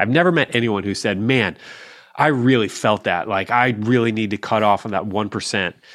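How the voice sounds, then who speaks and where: In an ordinary speaking voice, a man talks at a moderate pace with a fairly low pitch and ordinary pitch variation, the background quiet. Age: 40s. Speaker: personal finance author and blogger. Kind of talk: casual interview chat.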